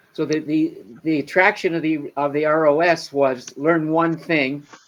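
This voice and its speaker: Over noticeable background noise, a man talks at a moderate pace in a fairly high pitch with monotone, flat intonation. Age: 70s. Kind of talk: casual chat. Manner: halting.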